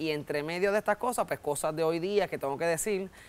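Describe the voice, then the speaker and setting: A man speaks with a Puerto Rican accent. His pitch variation is ordinary. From Puerto Rico. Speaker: comedian. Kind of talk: interview. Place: studio. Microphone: lapel.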